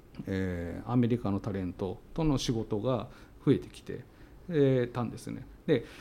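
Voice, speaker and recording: A man speaks in a dark, mellow tone with ordinary pitch variation. His loudness swings widely. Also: medium pitch for a man, moderate pace. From Tsuyama, Okayama, Japan. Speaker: company CEO. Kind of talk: interview.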